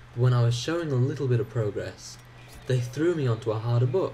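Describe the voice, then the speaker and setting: With audible room echo around it, the voice keeps a moderate pace and ordinary pitch variation. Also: man. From England (childhood partly in Ireland). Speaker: gaming YouTuber. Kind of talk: gameplay commentary. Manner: hesitant, many fillers.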